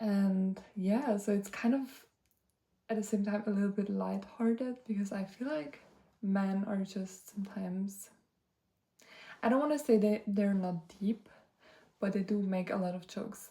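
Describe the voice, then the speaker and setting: A woman speaks at a moderate pace with long, frequent pauses and fairly even intonation. Her medium-pitched voice is somewhat breathy, with a dark, mellow tone. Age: 20s. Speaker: vlogger. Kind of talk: casual chat. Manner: hesitant, many fillers.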